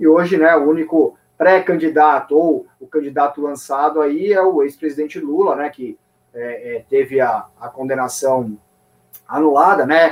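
With an ordinary speaking voice pitched fairly high, a man talks at a fairly slow pace, using ordinary pitch variation and big swings in loudness. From São Paulo, Brazil. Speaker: financial journalist, editor-in-chief. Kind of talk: casual interview.

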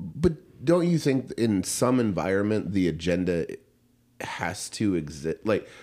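A man's fairly low voice with a dark, mellow tone, vocal fry and very wide pitch swings, on a very clean recording with a silent background. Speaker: restaurant owner guest. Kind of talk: casual political chat.

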